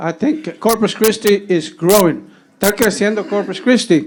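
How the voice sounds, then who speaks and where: Lively intonation marks a man speaking with an American accent. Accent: Tejano South Texas English. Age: 70s. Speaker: public commenter. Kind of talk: public comment at county meeting. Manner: halting, many repetitions.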